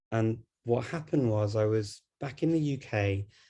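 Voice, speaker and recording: A man's somewhat breathy, medium-pitched voice with a dark, mellow tone over a quiet background. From Liverpool, northern England. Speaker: polyglot. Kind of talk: online panel talk. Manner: hesitant with frequent fillers.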